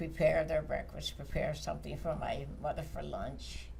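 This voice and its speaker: A woman talks at a moderate pace. Noticeable background noise is present throughout. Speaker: community mother. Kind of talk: interview answer.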